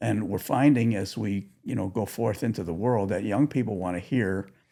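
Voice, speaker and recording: A man's fairly low, dark, mellow voice with vocal fry, ordinary pitch variation and a moderate pace. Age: 80s+. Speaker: author and executive advisor. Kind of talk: interview conversation.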